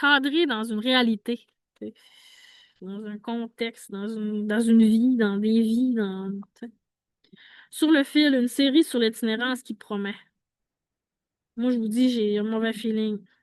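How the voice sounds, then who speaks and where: A woman with a fairly high pitch, big swings in loudness and fairly even intonation, at a fairly slow pace with long, frequent pauses, in a dry, close sound with no echo over a quiet background. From Quebec, Saguenay–Lac-Saint-Jean. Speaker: homeless vlogger. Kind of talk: casual monologue. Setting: outdoors.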